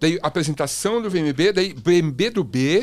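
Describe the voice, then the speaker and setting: A man speaks with lively intonation. His tone is animated. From Brazil. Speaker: podcast host, former music TV presenter; podcast host, TV presenter. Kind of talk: casual chat. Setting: studio, live stream. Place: studio. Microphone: studio mic.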